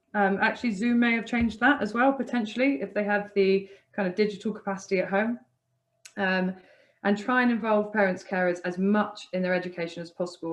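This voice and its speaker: This woman talks at a fairly quick pace in a medium pitch. Her pitch varies in an ordinary way. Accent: English. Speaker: charity worker training teachers. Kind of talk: webinar presentation. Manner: fast.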